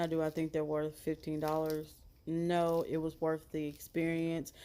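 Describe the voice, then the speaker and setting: Quiet speech at a moderate pace on a very clean recording with a silent background. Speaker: slime reviewer. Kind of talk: product review.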